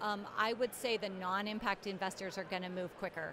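Noticeable background noise sits behind a woman's voice. She speaks at a moderate pace with monotone, flat intonation. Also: dry sound with no echo. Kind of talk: interview answer. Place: hall. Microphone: handheld.

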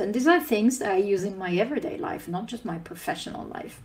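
The woman's voice is somewhat breathy. She speaks with a non-native accent. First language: not English. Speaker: conference speaker. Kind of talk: conference talk. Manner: frequent filler 'uh' hesitations. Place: home room. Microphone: webcam.

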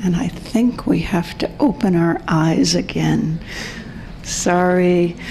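Over noticeable background noise, a woman with a fairly low pitch talks at a very slow pace with ordinary pitch variation. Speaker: panelist, community organizer. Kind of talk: guided meditation; panel discussion. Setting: conference panel in a room.

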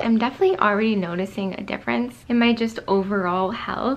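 A woman's pitch varies in an ordinary way, with noticeable background noise present. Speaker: vlogger. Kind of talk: casual vlog chat.

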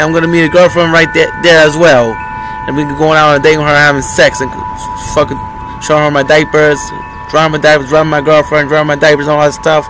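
Music plays in the background as the voice moves at a fairly quick pace with ordinary pitch variation and a dry sound with no echo. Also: man. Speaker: vlogger. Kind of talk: casual vlog chat. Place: street. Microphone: phone near.

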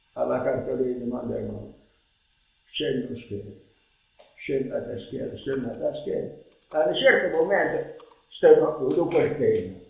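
Amid audible room echo, a man speaks at a moderate pace with big swings in loudness and long, frequent pauses. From Matera, southern Italy. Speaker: retired schoolteacher. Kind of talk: interview answer. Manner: ironic, humorous storytelling. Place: home room. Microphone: camera far.

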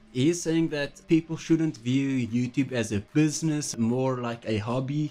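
Fairly slow delivery with ordinary pitch variation and faint music in the background. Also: man. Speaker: commentary youtuber. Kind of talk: commentary. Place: home room. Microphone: studio mic.

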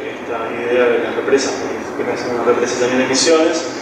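Speech at a moderate pace with strong room echo and noticeable background noise. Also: man. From Buenos Aires, Argentina. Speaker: film director. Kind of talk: Q&A at a film presentation. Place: hall. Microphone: camera far.

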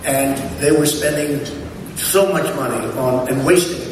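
A man talks with ordinary pitch variation. Strong room echo and noticeable background noise surround his voice. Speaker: speaker. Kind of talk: after-dinner speech. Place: hall. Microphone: camera far.

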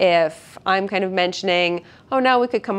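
A woman at a fairly quick pace, with ordinary pitch variation. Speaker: physical therapist instructor. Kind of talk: tutorial. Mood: calm, gentle, reassuring. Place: gym. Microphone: lapel.

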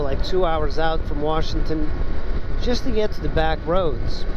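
A man's voice at a moderate pace, with a dry sound with no echo and noticeable background noise. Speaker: motorcycle vlogger. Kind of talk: casual vlog chat. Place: motorbike. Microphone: helmet.

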